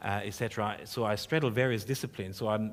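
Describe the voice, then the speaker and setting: A man talks very fast with a German accent. His fairly low voice keeps a fairly even intonation. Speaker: professor. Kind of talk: panel discussion. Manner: halting.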